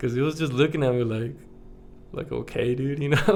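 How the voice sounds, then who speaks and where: A man speaks at a medium pitch, his intonation fairly even. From United States, Mexican American family. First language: Spanish. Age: 30s. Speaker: vlogger. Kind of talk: casual vlog chat. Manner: casual, filler-heavy.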